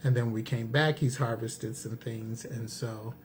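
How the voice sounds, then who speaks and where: A man's somewhat breathy, medium-pitched voice at a fairly slow pace. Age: 60s. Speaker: cooking channel co-host. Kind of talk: casual chat.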